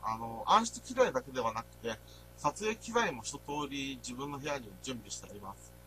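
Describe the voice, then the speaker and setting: A man speaks with big swings in loudness while music plays in the background. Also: moderate pace. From Niigata, Nagaoka. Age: 20s. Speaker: university student. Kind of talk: presentation. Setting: voice-only recording. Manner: halting.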